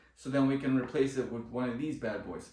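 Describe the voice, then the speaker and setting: With an enthusiastic tone and fairly high pitch, a man talks over noticeable background noise and audible room echo. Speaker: car DIY video creator. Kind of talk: tutorial. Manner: loud; casual, enthusiastic.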